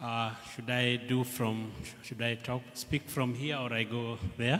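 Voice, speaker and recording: Speaking with a Kenyan accent, a man talks fairly slowly at a medium pitch in a monotone, flat delivery, with noticeable background noise around him. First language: Kikuyu. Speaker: language researcher. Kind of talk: festival speech. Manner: halting.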